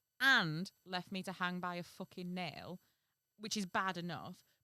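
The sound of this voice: Someone reads in an unforced reading voice. Behind it, all is quiet.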